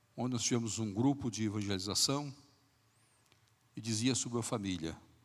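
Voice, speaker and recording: Audible room echo surrounds a man of medium pitch who talks at a moderate pace with ordinary pitch variation. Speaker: pastor. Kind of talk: sermon. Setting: church. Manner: soft-spoken.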